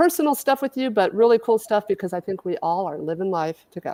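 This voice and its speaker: In a very clean recording with a silent background, a woman speaks at a fairly quick pace with ordinary pitch variation, the sound dry and close with no echo. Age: 60s. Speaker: AI brand strategist and event speaker. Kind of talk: livestream presentation. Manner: fast.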